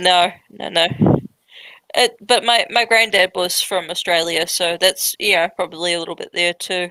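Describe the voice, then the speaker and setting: Speaking with a New Zealand accent, a woman has a bright, sharp tone, medium pitch, fairly even intonation and a moderate pace, recorded with a dry, close sound and no echo. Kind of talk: casual chat.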